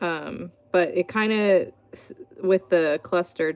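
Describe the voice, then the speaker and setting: A woman speaks with music in the background. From Pittsburgh, Pennsylvania, US. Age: 30s. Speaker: artist. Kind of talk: live stream art tutorial and chat. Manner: casual, chatty with many fillers.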